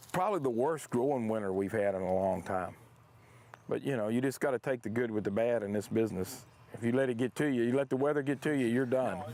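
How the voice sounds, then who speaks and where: A man's very fast talk in a Texan accent, dark and mellow in tone, with ordinary pitch variation. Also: medium pitch for a man. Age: 60s. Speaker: farmer. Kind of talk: interview.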